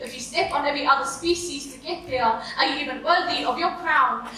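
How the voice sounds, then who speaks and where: At a moderate pace, a woman projects a raised, high-pitched voice with ordinary pitch variation over noticeable background noise. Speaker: spoken word poet, competition entrant. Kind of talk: spoken word poetry performance.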